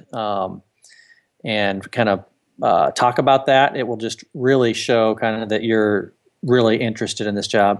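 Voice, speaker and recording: A man with an unremarkable speaking voice, medium pitch and fairly even intonation. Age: 40s. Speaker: author and executive search consultant. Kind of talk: interview. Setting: studio or Skype call.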